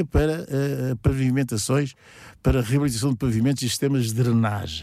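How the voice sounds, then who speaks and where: Recorded very cleanly against a silent background, a man speaks at a medium pitch with ordinary pitch variation and a dark, mellow tone. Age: 70s. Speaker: local parish council president. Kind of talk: radio interview. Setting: studio. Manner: halting, many repetitions.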